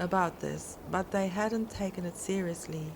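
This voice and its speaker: This is an unremarkable speaking voice with fairly even intonation. The pace is fairly slow. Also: woman. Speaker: podcast host and story narrator. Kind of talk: scary story narration for sleep.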